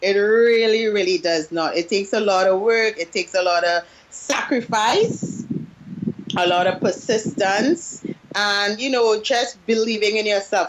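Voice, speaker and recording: In a Trinidadian accent, a woman with a fairly high voice speaks at a fairly slow pace and very even loudness. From Trinidad and Tobago. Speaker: business coach. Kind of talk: interview. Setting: Skype call.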